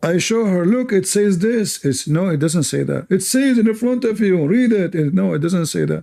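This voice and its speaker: A man with an Arabic accent speaks at a high pitch in a dark, mellow tone. His intonation is lively, his loudness very even, and he leaves hardly any pauses. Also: moderate pace. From Middle East. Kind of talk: live debate with callers.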